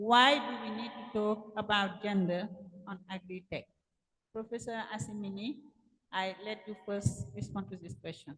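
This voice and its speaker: At a moderate pace, a woman speaks at medium pitch with ordinary pitch variation and big swings in loudness. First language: French. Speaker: panel moderator, gender specialist. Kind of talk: panel discussion moderation. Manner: halting.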